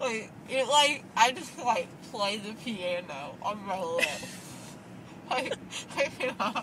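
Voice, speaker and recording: A woman speaking very slowly with lively intonation, big swings in loudness, and noticeable background noise. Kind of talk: casual chat. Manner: slurred numb-lipped drugged voice. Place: car. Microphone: phone near.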